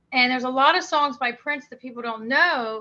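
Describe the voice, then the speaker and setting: A woman with an American accent talks at a very fast pace in a fairly high, bright, sharp voice with ordinary pitch variation. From Maryland, US. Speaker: singer-songwriter. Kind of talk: interview.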